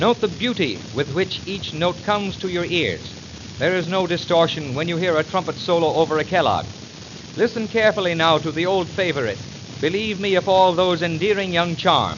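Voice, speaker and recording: Noticeable background noise sits behind a man with a high-pitched voice. He speaks at a moderate pace with ordinary pitch variation. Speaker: radio announcer. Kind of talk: radio product demonstration narration. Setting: old 1929 78 rpm record recording.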